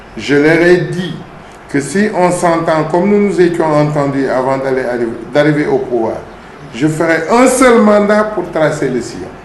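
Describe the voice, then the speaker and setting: A man with a high voice speaks at a fairly slow pace and lively intonation, leaving long, frequent pauses, with noticeable background noise and audible room echo. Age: 60s. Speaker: town mayor, politician. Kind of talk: interview.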